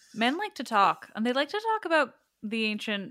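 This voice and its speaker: A woman with a normal speaking voice, lively intonation and a moderate pace. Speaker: podcast host. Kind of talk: casual conversation interview.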